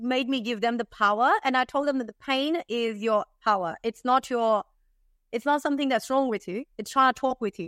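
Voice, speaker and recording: Moderate pace and ordinary pitch variation, in a dry, close sound with no echo and a quiet background. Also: woman. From India. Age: 30s. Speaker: tea developer and entrepreneur. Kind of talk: interview.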